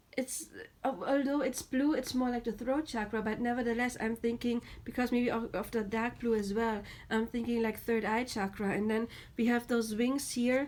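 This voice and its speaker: At a moderate pace, a woman with a German accent and a fairly high pitch talks in a monotone, flat intonation at very even loudness. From Germany. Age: 30s. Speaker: tarot reader. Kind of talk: tarot reading. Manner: halting.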